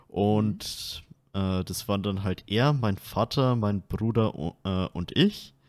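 A man's fairly low pitch is captured with a dry, close sound and no echo. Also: very clean recording, silent background. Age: 20s. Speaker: podcast host. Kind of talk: casual chat.

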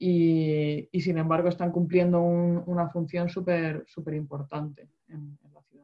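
A woman's fairly low, monotone voice with flat intonation, a fairly slow pace and big swings in loudness. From Murcia, Spain. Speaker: water engineer, podcast co-host. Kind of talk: casual chat. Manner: halting, many repetitions.

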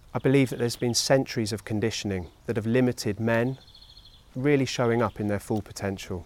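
A man talks in an ordinary speaking voice at medium pitch. His pace is fairly quick and his intonation fairly even. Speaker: mentoring organisation leader.

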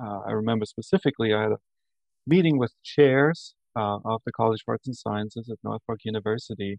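A medium-pitched man with an Austrian accent speaks at a moderate pace with ordinary pitch variation, in a dry, close sound with no echo. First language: German. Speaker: university administrator and professor. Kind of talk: interview. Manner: enthusiastic.

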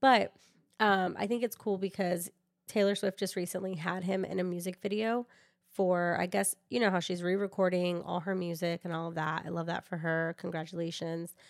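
A woman speaks at a fairly low pitch in a very clean recording with a silent background. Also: moderate pace. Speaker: podcast co-host. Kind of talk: casual chat. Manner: animated.

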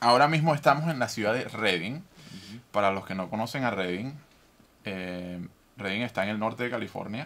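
At a moderate pace, a man talks in an unremarkable speaking voice of medium pitch with lively intonation. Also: big swings in loudness. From Venezuela. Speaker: podcast host. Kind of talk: interview.

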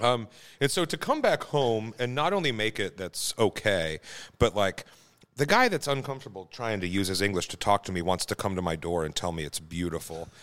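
The speaker has an American accent and a normal speaking voice. The intonation is lively. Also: man, fairly low pitch for a man, very clean recording, silent background. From Kansas. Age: 40s. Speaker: home cook and beer professional. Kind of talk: casual chat.

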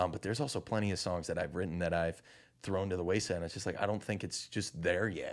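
The speaker has a Chicago-area accent and talks very fast with ordinary pitch variation. The recording is very clean, with a silent background. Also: man, very deep, low pitch for a man. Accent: Chicago-area Midwestern American. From US Midwest, Chicago suburbs (Naperville, Illinois). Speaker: touring singer-songwriter. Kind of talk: casual interview chat. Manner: animated.

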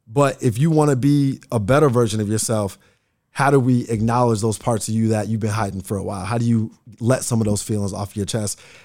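An ordinary speaking voice with an American accent, fairly even intonation and a fairly quick pace, in a very clean recording against a silent background. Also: man, medium pitch for a man. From Nebraska, Bellevue (Omaha suburb). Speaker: trauma healing coach. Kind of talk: casual interview conversation. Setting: studio.

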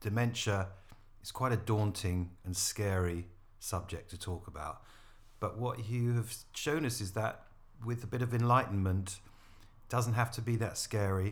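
A man's somewhat breathy, fairly low-pitched voice at a moderate pace. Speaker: podcast co-host. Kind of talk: informational podcast.

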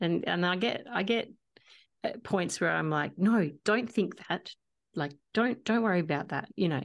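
In an Australian accent, a woman talks at a fairly slow pace. Her pitch is medium and her intonation lively. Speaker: podcast host and singer-songwriter. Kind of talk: casual interview chat.

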